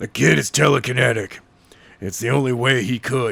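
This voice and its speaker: In a put-on character voice, a man speaks raspily at medium pitch and a moderate pace with ordinary pitch variation. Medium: read story. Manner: terse.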